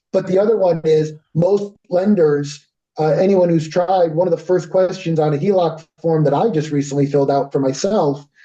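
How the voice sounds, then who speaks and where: A man's high pitch and dark, mellow tone with a Connecticut accent, fairly even intonation and very even loudness. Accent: US Northeast (Connecticut). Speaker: company representative presenting a service. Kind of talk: business presentation with Q&A. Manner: fast.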